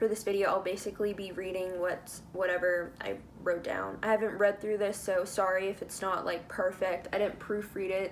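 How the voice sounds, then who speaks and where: With noticeable background noise behind her, a woman with an American accent speaks at a moderate pace and medium pitch in a flat monotone. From United States. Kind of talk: casual talk to camera. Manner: talkative, with stutters.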